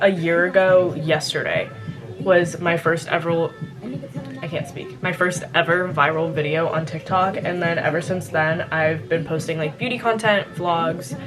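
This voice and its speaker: A woman with an American accent speaks quietly and with fairly even intonation, with music in the background and audible room echo. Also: fairly low pitch for a woman, fairly slow pace. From California and Louisiana. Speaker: lifestyle vlogger. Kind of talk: casual Q&A vlog. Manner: quiet, lowered voice; chatty, filler-heavy.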